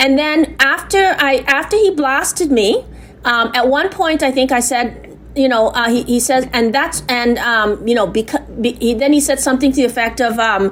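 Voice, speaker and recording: Noticeable background noise runs under the speech. The loudness stays very even throughout. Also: woman, high pitch for a woman, ordinary pitch variation, moderate pace, hardly any pauses. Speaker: complainant. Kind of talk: phone complaint. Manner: halting.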